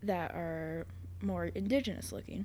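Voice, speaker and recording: A woman is speaking. She has an American accent. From Ashland, Montana. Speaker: store manager. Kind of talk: casual chat.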